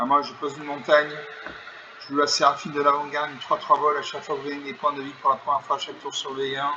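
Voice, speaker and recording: A man speaks at a very fast pace, fairly high in pitch, with monotone, flat intonation and big swings in loudness. Noticeable background noise runs underneath. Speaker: gaming YouTuber. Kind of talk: live game commentary.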